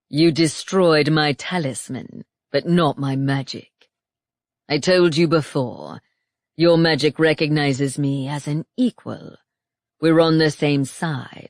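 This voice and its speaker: The voice is a put-on character voice with a low-to-middle pitch. It moves at a fairly slow pace. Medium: read story. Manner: calm, smug, taunting.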